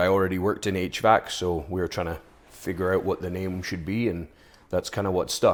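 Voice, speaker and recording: A man with a slight Scottish accent speaks at a moderate pace with a very deep, low pitch. The recording is very clean, and the background is silent. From Scotland, Aberdeen. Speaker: HVAC business owner, former strongman. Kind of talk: interview.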